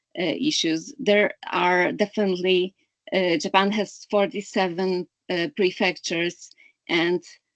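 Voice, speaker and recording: A woman with a Polish accent speaks at a fairly slow pace and medium pitch, with ordinary pitch variation. The sound is dry and close, with no echo. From Poland. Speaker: clean energy analyst. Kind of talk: webinar talk. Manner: halting, many fillers.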